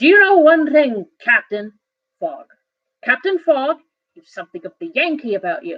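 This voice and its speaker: A woman puts on a character voice, pitched high and swinging very widely up and down, moving at a moderate pace with long, frequent pauses. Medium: read story. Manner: explosive, blustering.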